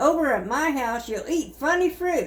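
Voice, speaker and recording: Over noticeable background noise, a woman speaks in a high pitch. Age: 70s. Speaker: grandmother reading stories. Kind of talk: children's book read-aloud.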